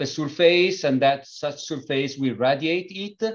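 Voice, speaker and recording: With ordinary pitch variation, the delivery keeps to a fairly slow pace. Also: man. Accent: Italian. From Italy. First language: Italian. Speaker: company founder and engineer. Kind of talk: interview. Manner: halting, many fillers.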